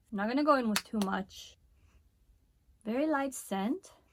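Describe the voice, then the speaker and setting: An animated woman with a Spanish accent, high-pitched, lively in intonation, at a moderate pace. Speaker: beauty vlogger. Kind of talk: product review.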